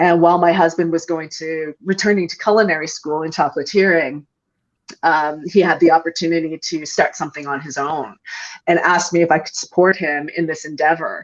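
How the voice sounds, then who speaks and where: Against a quiet background, a woman with a Canadian accent talks at a fairly quick pace in a fairly low pitch. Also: fairly even intonation. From Canada, New Brunswick. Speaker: entrepreneur. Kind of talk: podcast interview. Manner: hesitant, many fillers.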